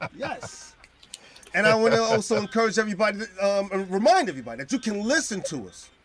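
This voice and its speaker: Talking very fast over noticeable background noise, a man with a high pitch uses an animated tone, lively intonation and big swings in loudness. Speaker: podcast host. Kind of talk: casual chat.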